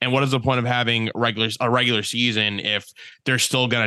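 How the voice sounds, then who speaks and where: Talking fairly quickly, a man uses a monotone, flat intonation at medium pitch with a bright, sharp tone. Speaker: sports podcast co-host. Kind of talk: casual sports banter.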